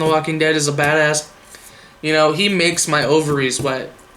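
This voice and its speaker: A man with a fairly high pitch talks fairly quickly, accompanied by noticeable background noise and audible room echo. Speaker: gaming news youtuber. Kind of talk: casual news roundup vlog. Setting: home camera setup.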